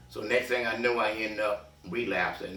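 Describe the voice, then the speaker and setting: Music plays in the background as a man talks with fairly even intonation amid audible room echo. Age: 70s. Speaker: reentry mentor. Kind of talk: personal testimony. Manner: hesitant, with many fillers.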